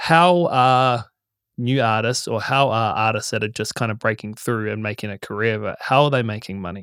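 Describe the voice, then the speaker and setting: A man speaks with a New Zealand accent, ordinary pitch variation and big swings in loudness. The recording is very clean, with a silent background. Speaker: podcast host. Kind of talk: casual interview chat. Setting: studio.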